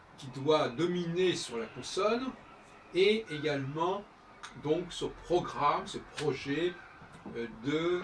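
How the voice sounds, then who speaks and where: A man speaks very slowly in a fairly high voice, with lively intonation, big swings in loudness and long, frequent pauses. Noticeable background noise and audible room echo fill the recording. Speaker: composer and musician. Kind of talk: spoken monologue on his music. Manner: halting, many hesitations.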